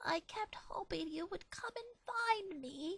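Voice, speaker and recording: The put-on character voice is extremely high and soft-spoken. It moves at a fairly slow pace. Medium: read story. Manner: timid, quiet.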